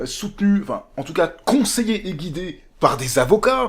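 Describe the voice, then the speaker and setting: In a very clean recording with a silent background, a man speaks at a moderate pace in an animated tone with very wide pitch swings. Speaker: political commentator. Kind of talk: monologue rant. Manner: halting, stammering.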